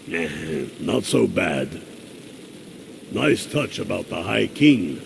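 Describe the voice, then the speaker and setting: Very slowly, a man delivers a raspy, put-on character voice against clear background noise. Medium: video game. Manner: blunt, gruff.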